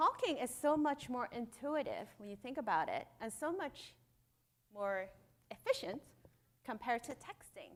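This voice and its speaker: A woman with a non-native accent speaks at a moderate pace, her high voice making very wide pitch swings. Her loudness rises and falls sharply, broken by long, frequent pauses. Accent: noticeable non-native. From Hong Kong. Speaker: conference speaker, startup founder. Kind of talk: conference keynote talk. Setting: stage with audience. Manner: animated.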